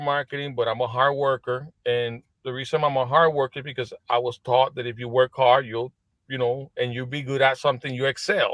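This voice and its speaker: A man is speaking. He talks with a Spanish accent. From Puerto Rico, east coast. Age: 40s. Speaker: business executive. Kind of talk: podcast interview. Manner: halting, many restarts.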